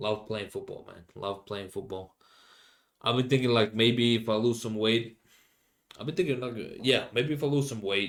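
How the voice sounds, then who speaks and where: This man speaks with a Finnish accent and ordinary pitch variation. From Finland. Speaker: podcast host. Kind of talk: casual monologue. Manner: halting, many fillers.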